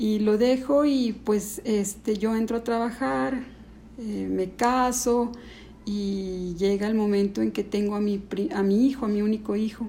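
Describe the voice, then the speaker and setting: A woman's somewhat breathy, fairly high voice with a dark, mellow tone at a fairly slow pace. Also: ordinary pitch variation. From Mexico, Ciudad Juárez then León from age nine. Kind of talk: testimony. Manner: halting.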